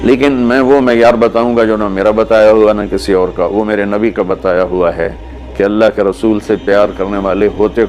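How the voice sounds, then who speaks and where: A man with a fairly low pitch and lively intonation, music playing in the background. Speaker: Islamic preacher. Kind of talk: religious sermon (bayan) to an audience. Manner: emotional, preaching, conversational.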